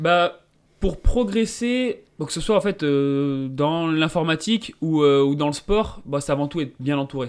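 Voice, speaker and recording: A man speaks very slowly with a fairly high pitch. His intonation is lively. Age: 20s. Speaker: mountain runner and software engineer. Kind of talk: interview. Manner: hesitant, many fillers.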